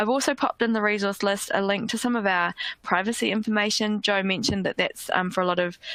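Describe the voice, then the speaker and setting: A woman with a New Zealand accent at a very fast pace, medium pitch, fairly even intonation and very even loudness. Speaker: education company languages head, former French teacher. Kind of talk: webinar presentation. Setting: online webinar. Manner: hesitant with frequent fillers.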